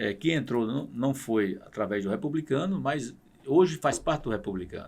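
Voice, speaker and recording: Lively intonation runs through a man's unremarkable speaking voice. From Paraíba, Brazil (Pocinhos). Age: 60s. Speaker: state politician. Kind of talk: podcast interview.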